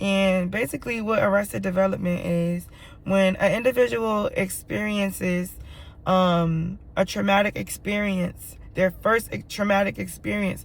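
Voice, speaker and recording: Animated and somewhat breathy, a woman talks fairly slowly at a medium pitch with ordinary pitch variation. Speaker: vlogger and rideshare driver. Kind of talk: personal vlog monologue. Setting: in a car.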